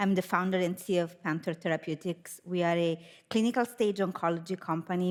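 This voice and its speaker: Very fast speech with an Italian accent, a very clean recording over a silent background. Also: woman. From Italy. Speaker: biotech company founder and CEO. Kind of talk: panel discussion.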